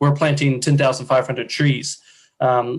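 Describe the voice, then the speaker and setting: Somewhat breathy, a man speaks at a fairly quick pace. His pitch is medium and his intonation is monotone and flat. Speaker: nonprofit presenter. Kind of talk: presentation. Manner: fast.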